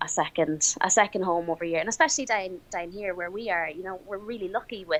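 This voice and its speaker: A woman with an Irish accent at a fairly quick pace, with ordinary pitch variation. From Ireland. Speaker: crime scene investigator. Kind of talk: casual chat.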